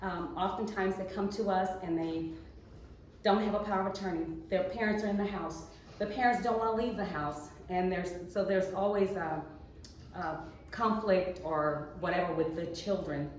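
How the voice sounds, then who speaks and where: Amid noticeable background noise and audible room echo, a woman talks at a moderate pace with a medium pitch and fairly even intonation. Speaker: elder law attorney. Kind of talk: short case-study presentation at a meeting. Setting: chapter meeting with audience.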